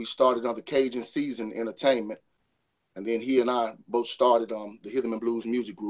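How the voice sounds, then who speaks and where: With a Louisiana accent, a man talks at a fairly quick pace in a medium pitch. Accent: US Southern, Louisiana. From northern Louisiana (Saline). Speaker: R&B singer. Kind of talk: interview. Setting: remote call into radio show.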